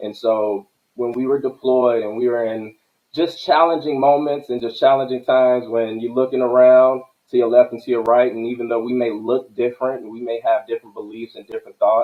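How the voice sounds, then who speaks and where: Speaking at a fairly quick pace, a man with an American accent has an unremarkable speaking voice. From Chicago, South Side. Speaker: army veteran and cannabis entrepreneur. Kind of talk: podcast interview.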